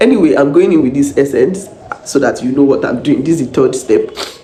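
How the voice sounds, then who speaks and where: An animated tone against noticeable background noise and audible room echo. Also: woman. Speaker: vlogger and minister. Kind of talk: casual vlog with encouragement.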